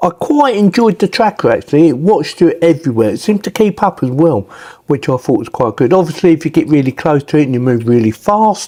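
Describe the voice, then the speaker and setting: In an English accent, a man talks very fast with a high pitch, very wide pitch swings and a dark, mellow tone. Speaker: tech product reviewer. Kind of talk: product review. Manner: casual.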